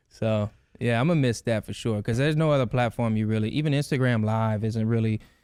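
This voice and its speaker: A man speaks with a Louisiana accent at medium pitch. His pace is fairly quick. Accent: Louisiana accent, noticeable. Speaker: videographer and content creator. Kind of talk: casual chat.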